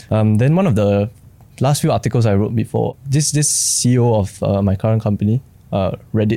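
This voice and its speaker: A man with a Singaporean accent, very even loudness, ordinary pitch variation and noticeable background noise. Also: medium pitch for a man, moderate pace. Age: 20s. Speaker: creative industry worker. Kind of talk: casual chat.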